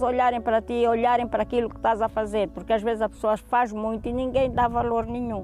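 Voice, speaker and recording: A woman talking at a fairly quick pace with music in the background. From Angola, Gabela (Cuanza Sul). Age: 70s. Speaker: retired fisherwoman turned farmer. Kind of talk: interview testimony. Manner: halting, frequent repetitions.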